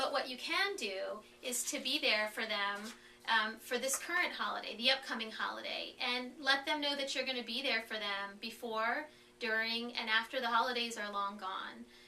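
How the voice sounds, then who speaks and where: Ordinary pitch variation amid audible room echo. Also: woman, fairly high pitch for a woman. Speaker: foster care support staff presenter. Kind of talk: webinar presentation. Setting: conference call. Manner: fast; hesitant with fillers.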